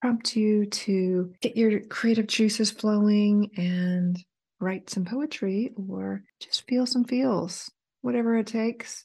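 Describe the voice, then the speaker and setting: A woman has a plain, everyday voice at a medium pitch. She speaks at a fairly slow pace over a quiet background. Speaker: podcast host. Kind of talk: poetry reading, read aloud in a calm, expressive, lyrical cadence. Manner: measured, reflective, warm and intimate.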